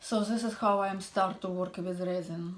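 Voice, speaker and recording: Speaking fairly slowly with a non-native accent, a woman keeps a monotone, flat intonation. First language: not English. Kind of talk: tutorial. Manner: halting.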